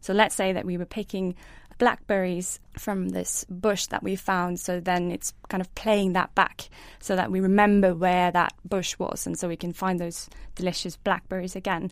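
A woman with a Norwegian accent speaks at a medium pitch and a moderate pace in monotone, flat intonation, in a very clean recording with a silent background. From Norway. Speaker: brain scientist. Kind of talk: science Q and A panel answers.

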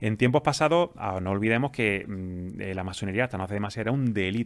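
A man talking at a very fast pace with ordinary pitch variation, on a very clean recording against a silent background. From Andalusia, Spain (Jaén). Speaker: pharmacist and freemason. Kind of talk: interview answers, explanatory.

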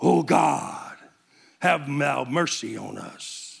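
A man puts on a raspy character voice with a fairly high pitch. He speaks at a very slow pace. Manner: exaggeratedly pious.

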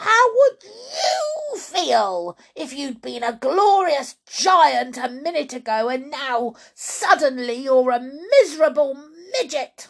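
A woman's put-on character voice, high-pitched and slow, with big pitch swings. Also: few pauses.

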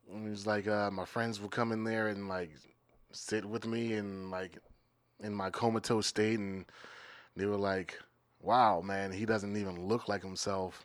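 The speaker has an American accent and talks at a fairly slow pace with long, frequent pauses in a monotone, flat intonation. The recording is very clean, with a silent background. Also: man, fairly low pitch for a man. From Maryland, US. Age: 30s. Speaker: comedian. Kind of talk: casual chat.

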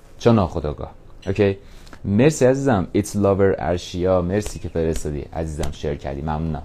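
With a very deep, low pitch, a man speaks at a fairly quick pace in an energetic tone with lively intonation. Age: 20s. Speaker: podcaster. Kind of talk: motivational monologue. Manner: casual, energetic.

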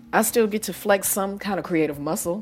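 A woman at a fairly quick pace. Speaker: podcast host and educator. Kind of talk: casual solo podcast monologue. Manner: animated, expressive.

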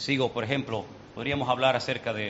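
A man at a moderate pace, fairly even intonation, with noticeable background noise. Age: 50s. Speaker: pastor. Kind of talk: sermon.

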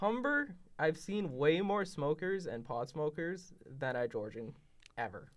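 Pitched fairly high, a man talks at a fairly slow pace with very wide pitch swings. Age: 20s. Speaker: college student podcaster.

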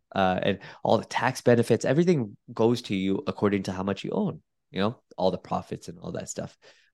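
A man speaks in an ordinary speaking voice at medium pitch, with lively intonation and a fairly quick pace. The recording is very clean, with a silent background. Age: 30s. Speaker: medical doctor and real estate investor. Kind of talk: podcast interview.

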